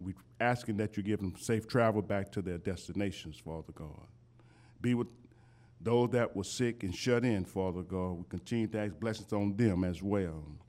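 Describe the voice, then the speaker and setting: A man's plain, everyday voice at a fairly low pitch, with moderate pace and ordinary pitch variation. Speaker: church leader praying. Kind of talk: closing prayer. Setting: church.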